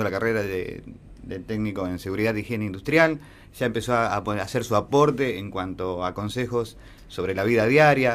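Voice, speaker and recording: A man with an Argentine accent speaks fairly quickly, with ordinary pitch variation. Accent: Argentine Spanish (Rioplatense). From Argentina. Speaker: student and local history page creator. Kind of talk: radio interview. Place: studio.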